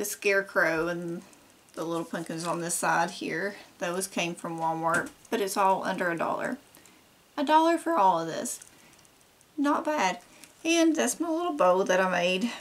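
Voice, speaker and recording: Very wide pitch swings mark this woman's speech in an American accent, broken by long, frequent pauses. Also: medium pitch for a woman, moderate pace. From Kentucky. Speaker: DIY crafts vlogger. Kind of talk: casual show-and-tell haul video. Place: home room.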